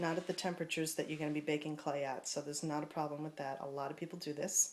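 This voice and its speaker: In a New York accent, a woman speaks with a relaxed tone. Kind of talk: craft tutorial talk to camera. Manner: casual, relaxed.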